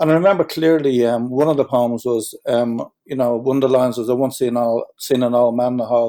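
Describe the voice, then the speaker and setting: With a Dublin accent, a man talks at a fairly quick pace with hardly any pauses, at medium pitch, in a dark, mellow tone and fairly even intonation. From Ireland, Dublin. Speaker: musician. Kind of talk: interview.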